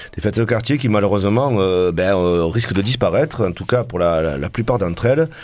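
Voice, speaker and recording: The speaker goes at a fairly quick pace with hardly any pauses and lively intonation. Noticeable background noise is present. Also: man, fairly low pitch for a man. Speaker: band member. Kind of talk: casual live radio chat. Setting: radio studio.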